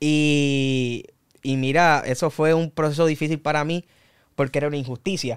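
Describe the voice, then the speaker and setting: In a very clean recording with a silent background, a man speaks with a Puerto Rican accent. His pitch is fairly high, his pace moderate and his intonation fairly even. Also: dry, close sound with no echo. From Puerto Rico, Canóvanas area. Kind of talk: casual interview, faith testimony.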